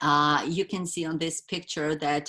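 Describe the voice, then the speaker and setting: In a non-native accent, a woman talks at a fairly slow pace with a bright, sharp tone. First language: not English. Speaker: wellness educator. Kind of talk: webinar presentation. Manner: halting, many fillers.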